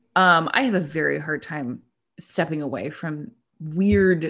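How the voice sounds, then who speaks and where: A woman with an American accent speaks at a fairly slow pace in an ordinary speaking voice, with lively intonation against a quiet background. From US, Pittsburgh area, Pennsylvania. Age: 30s. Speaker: podcast co-host. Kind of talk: casual interview chat.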